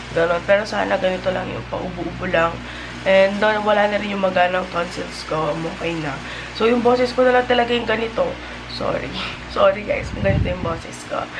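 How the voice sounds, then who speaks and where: Speech moves at a fairly quick pace. Audible room echo and noticeable background noise fill the recording. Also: woman. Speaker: lifestyle vlogger. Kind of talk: casual vlog talk to camera.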